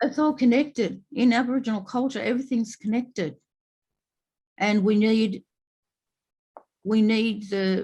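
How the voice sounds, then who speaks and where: A woman's somewhat breathy, dark, mellow voice at fairly high pitch and a moderate pace, with ordinary pitch variation and long, frequent pauses. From New South Wales South Coast, Australia. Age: 70s. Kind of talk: panel discussion. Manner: halting, many fillers.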